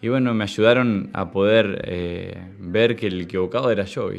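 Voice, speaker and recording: A man with a fairly low voice talks at a moderate pace with fairly even intonation. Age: 20s. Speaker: recovering addict. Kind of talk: testimony. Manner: halting, many repetitions and fillers. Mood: calm, reflective.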